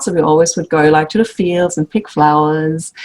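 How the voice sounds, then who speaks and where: A German accent at a moderate pace. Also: woman. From Germany. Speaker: sewing instructor and quilt designer. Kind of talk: casual interview chat.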